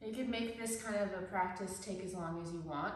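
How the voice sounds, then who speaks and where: A woman at a medium pitch talks at a fairly quick pace with ordinary pitch variation, with audible room echo and noticeable background noise. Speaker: yoga teacher. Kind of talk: guided somatic movement class. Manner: halting, many fillers.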